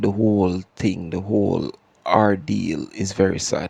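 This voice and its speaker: A man speaks with a Jamaican accent at a fairly low pitch. His pace is fairly slow. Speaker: podcast host. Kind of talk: casual commentary. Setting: home, not studio. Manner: repeats words, stammering.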